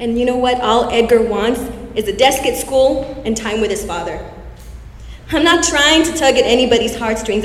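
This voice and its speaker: Against noticeable background noise, a woman with a high pitch talks at a fairly quick pace with lively intonation. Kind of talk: spoken word poetry. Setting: stage with audience.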